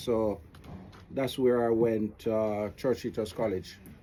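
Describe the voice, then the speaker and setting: The voice belongs to a man. Background noise is noticeable in the clip. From Jamaica, St. Elizabeth. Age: 60s. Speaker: author and business adviser. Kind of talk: radio interview, casual chat. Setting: radio studio.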